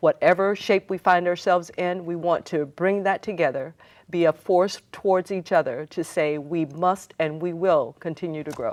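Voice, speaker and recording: An ordinary speaking voice from a woman with an American accent, fairly low pitch, fairly even intonation, moderate pace and hardly any pauses, against a quiet background. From Seattle, US Pacific Northwest. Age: 60s. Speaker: community organizer and city council candidate. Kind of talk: TV interview.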